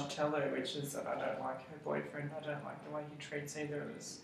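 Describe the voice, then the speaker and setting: Audible room echo surrounds a man's voice, along with light background noise. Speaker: interviewee. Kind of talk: interview answer. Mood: hesitant, slightly uneasy. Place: meeting room. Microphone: camera far.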